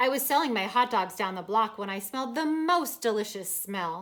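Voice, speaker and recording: A woman's put-on character voice, fairly high in pitch, at a moderate pace. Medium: read story.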